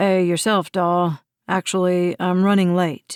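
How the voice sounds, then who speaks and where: In a gruff, put-on character voice, the speaker goes at a fairly slow pace with fairly even intonation. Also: woman, medium pitch for a woman. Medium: read story. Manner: terse, few words.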